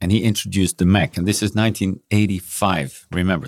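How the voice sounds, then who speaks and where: With a Dutch accent, a man speaks at a very deep, low pitch. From Netherlands, Brabant. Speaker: entrepreneur and startup accelerator founder. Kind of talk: interview.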